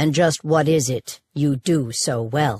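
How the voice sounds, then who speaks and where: Putting on a growling character voice, a woman speaks in a very deep, low pitch at a fairly slow pace, with ordinary pitch variation and a dry, close sound with no echo. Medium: read story. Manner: curt, provocative, challenging.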